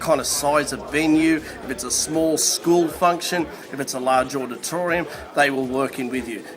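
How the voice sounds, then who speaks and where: Over music in the background and audible room echo, a man with a fairly high pitch speaks at a moderate pace with fairly even intonation. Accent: Australian. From Australia. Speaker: public speaker. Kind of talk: testimonial.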